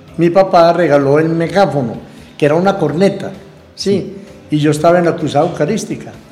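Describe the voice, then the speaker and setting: Audible room echo and noticeable background noise surround the speech. The man's pitch is high. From Colombia, Antioquia (San Antonio de Prado, Medellín). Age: 60s. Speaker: local shopkeeper and restaurant owner. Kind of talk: interview storytelling.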